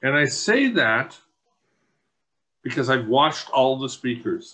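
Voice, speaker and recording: A man with a Canadian accent at a fairly slow pace. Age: 60s. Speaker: public meeting speaker. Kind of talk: public comment. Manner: animated.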